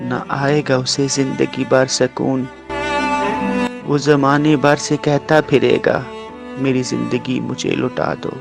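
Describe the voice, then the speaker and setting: A man with a fairly high voice talks while music runs in the background. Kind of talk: poetry reading.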